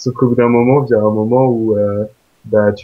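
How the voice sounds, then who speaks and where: The man's intonation is monotone and flat. He speaks at a fairly quick pace. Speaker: exchange student. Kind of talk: interview. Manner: hesitant, many fillers.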